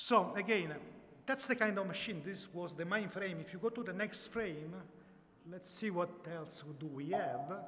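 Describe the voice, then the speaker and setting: Over noticeable background noise and audible room echo, a man with an Italian accent speaks at a moderate pace and high pitch, with ordinary pitch variation and big swings in loudness. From Italy. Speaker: software company founder. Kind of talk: presentation. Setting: live audience, livestreamed. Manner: halting.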